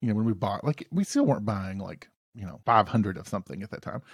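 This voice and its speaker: Over a silent background in a very clean recording, a man with a Southern US accent talks at a very fast pace in a fairly low pitch. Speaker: podcast host. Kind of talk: casual banter.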